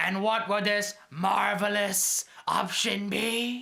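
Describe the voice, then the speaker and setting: A man's put-on character voice, high-pitched, raised and projected, very slow, with fairly even intonation. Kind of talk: amateur school-skit acting. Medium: comedy sketch.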